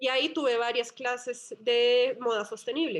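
This woman has a normal speaking voice, fairly high in pitch, with fairly even intonation. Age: 30s. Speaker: entrepreneur, brand founder. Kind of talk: interview conversation.

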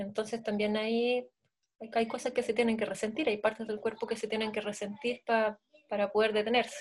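At a fairly quick pace, a woman with fairly high pitch talks in a monotone, flat intonation. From Chile, Santiago. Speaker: dancer and choreographer. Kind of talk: interview.

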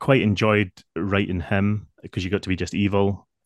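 In a Lothian accent, the voice comes through with a dry, close sound with no echo against a quiet background. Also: man. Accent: Scottish (Lothian). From Scotland, near Edinburgh. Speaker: novelist. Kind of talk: interview.

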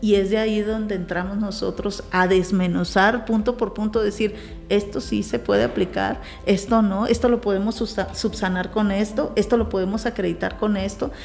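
A woman's medium-pitched voice at a moderate pace, with fairly even intonation amid noticeable background noise. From Mexico, Sinaloa (Navolato), later Tijuana. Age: 40s. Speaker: business leader. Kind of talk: interview testimony.

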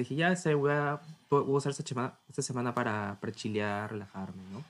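Talking at a very fast pace, a man is captured in a very clean recording with a silent background. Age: 20s. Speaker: podcast host, university student. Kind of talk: casual chat.

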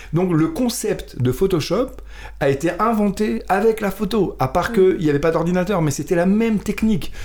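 Here a man speaks at a moderate pace in a high pitch, with ordinary pitch variation and very even loudness. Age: 50s. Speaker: musician and photographer. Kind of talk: casual chat.

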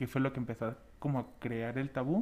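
Speaking at a fairly slow pace, a man has a plain, everyday voice. His pitch is medium with ordinary pitch variation. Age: 20s. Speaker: podcast co-host. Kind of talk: casual chat.

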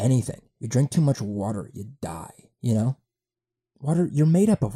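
A somewhat breathy man talks at a moderate pace, his pitch swinging very widely and his loudness rising and falling sharply. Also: medium pitch for a man. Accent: American. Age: 20s. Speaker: podcast host. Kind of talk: casual monologue. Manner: halting, many fillers.

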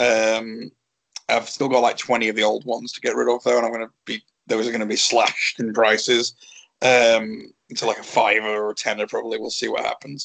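This man's delivery is rather brisk. His tone stays level and monotone throughout. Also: medium pitch for a man. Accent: English. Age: 30s. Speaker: professional wrestler. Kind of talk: casual interview.

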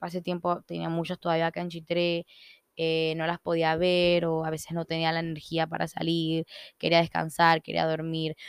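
A woman speaks in a fairly low, monotone voice with flat intonation. Her pace is moderate, and the sound is dry and close with no echo. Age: 20s. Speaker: podcast host, entrepreneur. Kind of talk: casual solo monologue. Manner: informal, many fillers.

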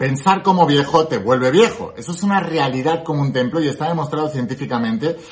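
A man's animated, fairly high voice at a fairly quick pace, with ordinary pitch variation and noticeable background noise. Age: 30s. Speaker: spiritual self-help youtuber. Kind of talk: motivational talk to camera.

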